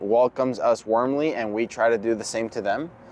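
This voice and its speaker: In a Spanish accent, a man talks at a moderate pace and a medium pitch. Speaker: circus performer. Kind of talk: interview. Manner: hesitant, repeats words.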